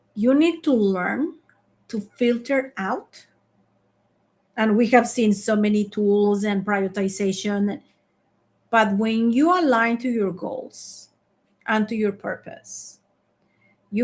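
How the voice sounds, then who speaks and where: In a non-native accent, a woman speaks at a fairly high pitch with ordinary pitch variation, somewhat breathy. Her pace is fairly slow, with long, frequent pauses. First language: not English. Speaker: leadership coach and founder. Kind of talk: live online masterclass. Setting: online live stream.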